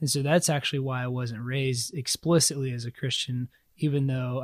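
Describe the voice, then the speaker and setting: An American accent from a man of medium pitch, somewhat breathy, with monotone, flat intonation at a fairly quick pace on a very clean recording with a silent background. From US South, South Carolina. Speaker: church member sharing faith story. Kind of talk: testimony.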